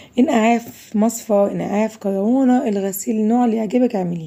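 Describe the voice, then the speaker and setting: With an Egyptian accent, a woman speaks at a moderate pace in a fairly high pitch with a dark, mellow tone. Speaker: cooking video host. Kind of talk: cooking tutorial.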